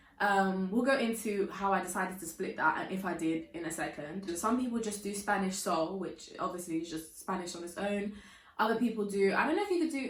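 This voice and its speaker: In a British accent, a woman with a medium pitch speaks at a very fast pace with hardly any pauses and ordinary pitch variation. Audible room echo and noticeable background noise are present. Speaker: youtuber and university student. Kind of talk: casual vlog talk. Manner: chatty, filler-heavy.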